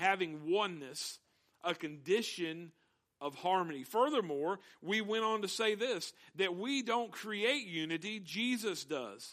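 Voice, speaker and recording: A man talks at a fairly slow pace in a high voice. His tone is bright and sharp, with lively intonation. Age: young. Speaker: pastor. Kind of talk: sermon.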